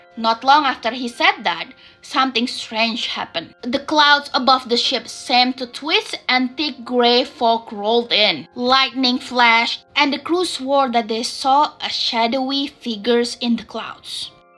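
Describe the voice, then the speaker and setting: Over music in the background, a woman speaks fairly slowly with hardly any pauses, at a high pitch with ordinary pitch variation. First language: not English, self-taught English. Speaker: storytelling vlogger. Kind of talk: casual storytelling.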